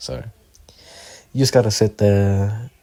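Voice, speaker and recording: At a very slow pace comes a dark, mellow tone that is somewhat breathy. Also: man. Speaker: amateur video creator who draws. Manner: stutters, hesitant.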